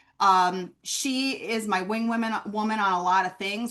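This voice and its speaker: A woman's medium-pitched voice with a Minnesota accent and fairly even intonation, set against a quiet background. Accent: Northern US (Minnesota). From US Upper Midwest, Minneapolis. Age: 50s. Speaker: branding consultant. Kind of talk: webinar conversation.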